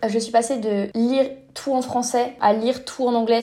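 A woman talks at a moderate pace in a monotone, flat intonation. Noticeable background noise runs behind her. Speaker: fanfiction writer. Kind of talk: casual interview.

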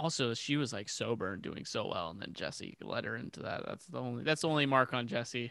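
At a fairly quick pace, a man with a medium pitch and a bright, sharp tone speaks with lively intonation and vocal fry. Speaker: musician in a band. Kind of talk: casual chat. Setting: remote call through speakers. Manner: loud.

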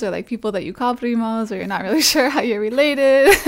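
A woman with an American accent, fairly high in pitch and very fast, over noticeable background noise. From Massachusetts, US. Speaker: DJ and music producer. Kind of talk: casual chat. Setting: in person, Brooklyn.

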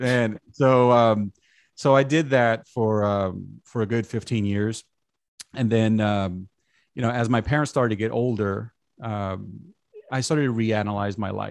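Against a quiet background, a man with an American accent and an unremarkable speaking voice talks at a fairly slow pace. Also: medium pitch for a man. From Brooklyn, New York. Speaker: communications director. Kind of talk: casual chat.

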